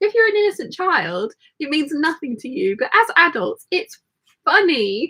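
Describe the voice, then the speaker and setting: A woman's raised, projected voice in an English accent, fairly slow, with very wide pitch swings. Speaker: sewing livestream host. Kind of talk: casual chat with sewing tutorial.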